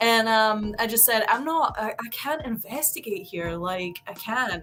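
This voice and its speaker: Speaking with a Scottish accent, a woman uses a fairly high pitch and a bright, sharp tone. Her pace is fairly slow and her intonation lively. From Scotland. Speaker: paranormal investigator. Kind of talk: casual chat.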